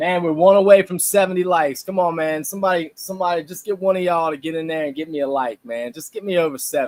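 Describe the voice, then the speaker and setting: Very fast, animated speech in a Louisiana accent, with big swings in loudness and hardly any pauses. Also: man, high pitch for a man, ordinary pitch variation. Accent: Southern US, Louisiana. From South Louisiana. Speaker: live stream co-host. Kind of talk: casual live stream chat.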